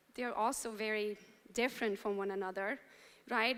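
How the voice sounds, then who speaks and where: Someone with a Romanian accent speaks at a moderate pace. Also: woman. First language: Romanian or Hungarian. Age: 40s. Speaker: real estate entrepreneur, motivational speaker. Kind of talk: keynote speech to a live audience. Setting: stage with audience.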